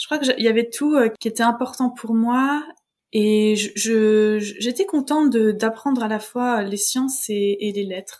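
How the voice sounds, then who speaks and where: This woman's voice sits at a fairly high pitch, with ordinary pitch variation. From France, Vosges. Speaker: French and drama teacher. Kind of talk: interview testimony. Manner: hesitant.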